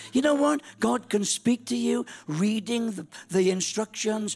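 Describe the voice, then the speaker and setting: A man with a Welsh accent talks at a moderate pace with lively intonation. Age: 60s. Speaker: pastor. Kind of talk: sermon. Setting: church. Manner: animated.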